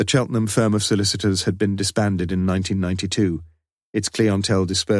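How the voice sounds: Over a quiet background, the speaker reads in a natural reading voice.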